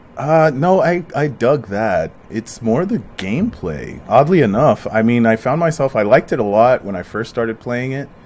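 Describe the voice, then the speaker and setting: A man's normal speaking voice with an American accent, medium pitch, lively intonation, a moderate pace and hardly any pauses. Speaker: podcast host. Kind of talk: casual chat. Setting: at home.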